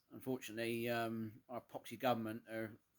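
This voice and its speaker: A man speaks with a strong Cornish accent. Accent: thick Cornish. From England, Cornwall. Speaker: vlogger. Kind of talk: casual personal vlog. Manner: hesitant, many fillers.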